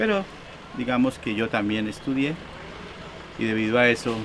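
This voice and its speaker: Noticeable background noise sits behind a man who speaks at a moderate pace. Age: 60s. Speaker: electronics repair technician, market vendor. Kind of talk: documentary interview testimony.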